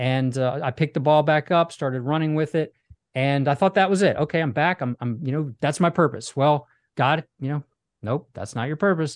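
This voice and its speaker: A plain, everyday voice from a man pitched fairly high moves at a fairly quick pace with ordinary pitch variation, recorded dry and close with no echo against a quiet background. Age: 40s. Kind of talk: interview.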